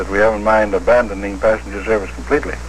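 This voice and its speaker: A man talking at a very fast pace, with noticeable background noise. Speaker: railway company president giving an interview answer. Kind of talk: interview answer.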